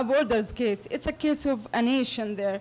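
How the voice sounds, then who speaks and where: A woman with an Arabic accent speaks at a moderate pace. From Palestine. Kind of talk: audience comment at public forum. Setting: public meeting hall with audience. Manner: halting.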